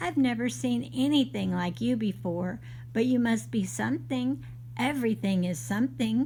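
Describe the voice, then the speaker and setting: A put-on character voice at a moderate pace amid clear background noise. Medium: read story.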